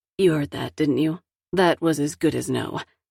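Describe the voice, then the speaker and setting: A woman's put-on character voice, raspy and very deep, at a moderate pace with fairly even intonation, in a dry, close sound with no echo. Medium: read story. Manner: playful, teasing.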